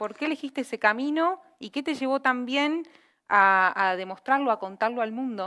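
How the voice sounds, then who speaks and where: A woman with a high pitch and a bright, sharp tone speaks at a moderate pace with lively intonation, on a very clean recording with a silent background. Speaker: panel moderator. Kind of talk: panel moderation.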